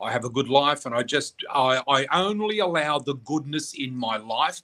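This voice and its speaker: The sound here is dry and close, without echo. A man talks with an Australian accent. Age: 60s. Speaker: psychic and spiritual teacher. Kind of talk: interview. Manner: animated storytelling.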